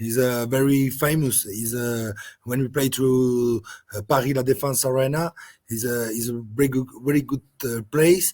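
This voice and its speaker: With a French accent, a man speaks at a medium pitch and a moderate pace, keeping his intonation fairly even. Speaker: rugby sevens coach. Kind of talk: interview. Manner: halting.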